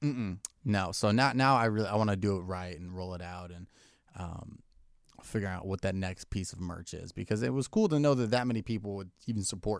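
With an ordinary speaking voice, a man talks at a fairly quick pace and fairly low pitch, with ordinary pitch variation and big swings in loudness, on a very clean recording with a silent background. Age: 20s. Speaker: comedian. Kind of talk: casual chat. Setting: studio.

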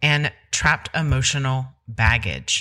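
Recorded very cleanly against a silent background, a woman speaks in a bright, sharp tone with vocal fry. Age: 40s. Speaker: nurse nutritionist and podcast host. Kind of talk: solo podcast talk. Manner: casual, conversational.

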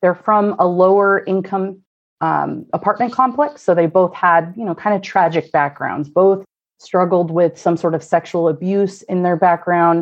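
Speaking with a Pacific Northwest accent, a woman uses a fairly low pitch and fairly even intonation. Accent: general American, Pacific Northwest. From US Pacific Northwest, Oregon (Corvallis). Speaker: true crime podcaster. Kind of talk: casual chat.

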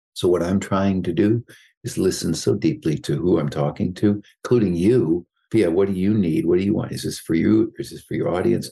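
A man speaks at a moderate pace in a dark, mellow tone with vocal fry. His pitch varies in an ordinary way. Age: 60s. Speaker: psychologist and executive coach, author. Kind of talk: interview.

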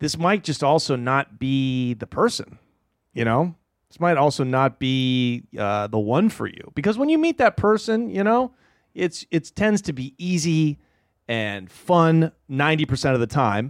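Speaking at a fairly slow pace, a man with a fairly high pitch makes very wide pitch swings. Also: dry, close sound with no echo. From Portland, Oregon. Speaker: stand-up comedian. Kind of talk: casual chat. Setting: studio.

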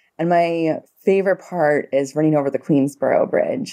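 With a New York accent, a woman speaks at a moderate pace in a dark, mellow tone with ordinary pitch variation. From New York City, the Bronx. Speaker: pediatric ICU nurse practitioner. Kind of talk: casual interview chat.

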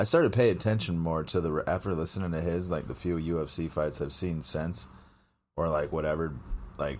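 With vocal fry and a very deep, low pitch, a man talks fairly quickly with ordinary pitch variation. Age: 30s. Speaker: podcast co-host. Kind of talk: casual chat.

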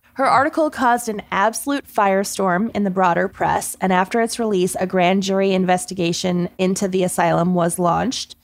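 A plain, everyday voice moves at a fairly quick pace with hardly any pauses. Its loudness stays very even, with ordinary pitch variation. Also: woman, medium pitch for a woman. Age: 30s. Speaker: podcast co-host. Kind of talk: casual chat; storytelling.

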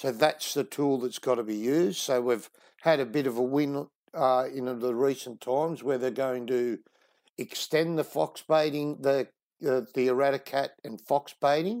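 With a strong Australian accent, a man talks at a moderate pace in a medium pitch, using ordinary pitch variation. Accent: broad Australian. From Sydney, Australia. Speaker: wildlife conservationist. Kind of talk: casual interview.

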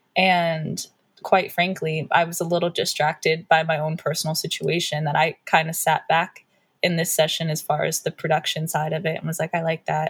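Speaking at a moderate pace, a woman sounds somewhat breathy, her fairly low pitch held in a monotone, flat intonation. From Pittsburgh area, Pennsylvania. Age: 20s. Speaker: R&B singer. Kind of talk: interview.

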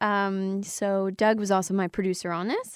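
On a very clean recording with a silent background, a woman with a Canadian accent speaks at a medium pitch and a fairly slow pace. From Windsor, Ontario, Canada. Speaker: country singer. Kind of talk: casual interview. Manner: hesitant, many fillers.

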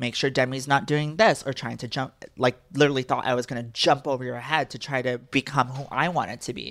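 With an American accent and a very deep, low pitch, a woman talks at a fairly quick pace with hardly any pauses, fairly even intonation and big swings in loudness, on a very clean recording with a silent background. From Texas. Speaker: social media personality. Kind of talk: casual chat.

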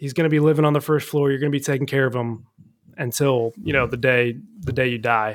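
An ordinary speaking voice from a man with an American accent, medium pitch, fairly even intonation and a fairly quick pace. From US Midwest, Cincinnati. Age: 20s. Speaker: accident survivor. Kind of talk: casual chat.

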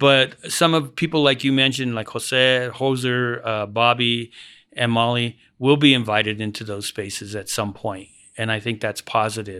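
A man with an American accent speaks at a moderate pace in a medium pitch, his bright, sharp tone and fairly even intonation captured in a very clean recording with a silent background. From Denver, Colorado. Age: 60s. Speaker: theater director. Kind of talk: interview.

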